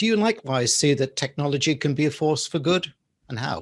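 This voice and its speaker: A somewhat breathy man with an English accent, a fairly high pitch and lively intonation. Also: quiet background. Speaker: talk show host. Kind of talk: interview. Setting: studio.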